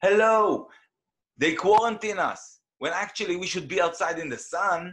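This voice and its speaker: At a moderate pace, a man with a high voice for a man shows ordinary pitch variation and big swings in loudness. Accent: Israeli. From Israel. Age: 40s. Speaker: independent researcher. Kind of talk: interview conversation. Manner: animated; hesitant.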